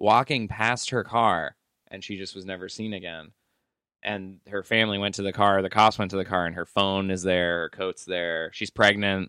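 The voice is a normal speaking voice at a moderate pace. The recording is very clean and dry, close with no echo, over a silent background. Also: man. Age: 30s. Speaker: podcast co-host. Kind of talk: casual chat.

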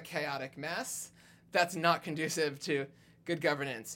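The tone is bright and sharp, with ordinary pitch variation and a moderate pace. The recording is very clean, with a silent background. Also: man. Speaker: progressive activist volunteer. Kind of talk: podcast interview.

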